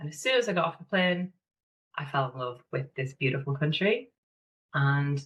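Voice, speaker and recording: A woman with a northeast English accent speaks at a fairly quick pace. Her voice is somewhat breathy. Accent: northeast English (Sunderland). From northeast England, Sunderland. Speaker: online business manager and mentor. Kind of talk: podcast interview.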